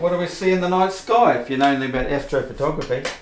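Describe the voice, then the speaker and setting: Noticeable background noise and audible room echo surround a man with a strong New Zealand accent who talks fairly quickly with ordinary pitch variation. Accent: New Zealand, self-described as strong. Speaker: video presenter on fringe science. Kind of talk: casual explainer talk. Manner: casual, unpolished.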